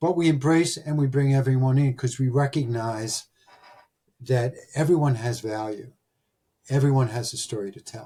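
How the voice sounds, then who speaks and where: A man's medium-pitched, somewhat breathy voice with an American accent, a dark, mellow tone, ordinary pitch variation, big swings in loudness and a moderate pace. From Delaware County, Pennsylvania. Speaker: podcast host, recruiting firm founder. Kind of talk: storytelling monologue.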